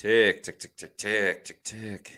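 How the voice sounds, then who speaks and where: In a very clean recording with a silent background, a man with an American accent speaks at a very slow pace in a bright, sharp tone. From New York. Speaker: sports livestream host. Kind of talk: live game reaction commentary. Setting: live stream.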